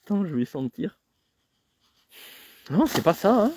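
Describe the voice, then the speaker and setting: Here a man's voice has a dark, mellow tone at a moderate pace. The sound is dry and close with no echo, on a very clean recording with a silent background. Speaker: nature photographer and vlogger. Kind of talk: live-stream walk commentary. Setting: outdoors in a forest. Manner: soft-spoken; casual, hesitant with fillers.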